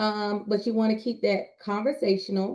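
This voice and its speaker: A woman uses an ordinary speaking voice, fairly high in pitch, at a moderate pace. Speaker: communication specialist and public speaker. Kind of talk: presentation.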